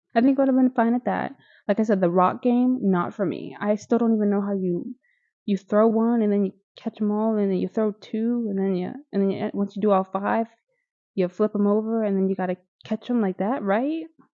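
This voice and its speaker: A woman with a Midwestern accent talks fairly quickly at medium pitch. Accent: Midwest. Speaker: YouTuber reviewing TV shows. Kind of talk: casual commentary video. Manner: animated.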